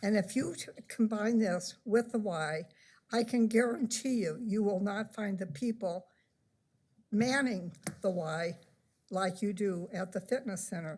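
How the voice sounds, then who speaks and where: A woman with a Midwestern US accent and a medium pitch speaks at a fairly slow pace with long, frequent pauses. Her somewhat breathy voice shows ordinary pitch variation. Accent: US Midwest. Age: 80s+. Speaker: resident speaking at public comment. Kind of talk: public comment at council meeting. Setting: city council chamber. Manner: halting.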